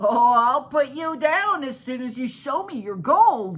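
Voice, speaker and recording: A put-on character voice, pitched high and delivered at a fairly slow pace. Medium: read story.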